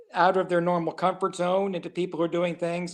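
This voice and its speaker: Speaking at a fairly quick pace, a man uses a high pitch. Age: 60s. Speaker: comedian. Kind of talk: casual chat.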